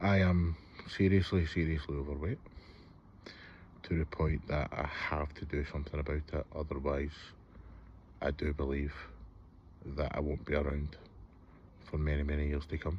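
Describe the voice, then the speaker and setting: A man with a Scottish accent, very deep and low in pitch, somewhat breathy, flat and monotone, at a moderate pace with long, frequent pauses. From Scotland, Hamilton near Glasgow. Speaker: vlogger. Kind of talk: personal vlog, confessional. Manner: hesitant, with fillers.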